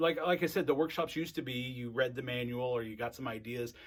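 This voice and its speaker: Here a man speaks with an animated tone at medium pitch, with ordinary pitch variation. The pace is fairly quick, and the recording is very clean with a silent background. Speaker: library workshop presenter. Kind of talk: training video presentation. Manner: fast.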